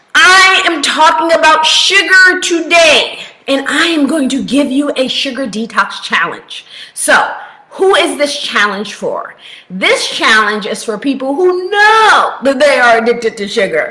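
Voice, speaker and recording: A woman's raised, projected voice sweeps through very wide pitch swings. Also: fairly slow pace. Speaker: health coach. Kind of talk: casual vlog chat. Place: home room. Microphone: webcam.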